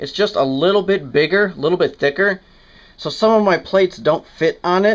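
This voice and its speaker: Against a quiet background, a man speaks at a moderate pace. His pitch is high and his intonation lively. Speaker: fitness vlogger. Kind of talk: casual home gym tour. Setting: small home room. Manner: casual, with many fillers.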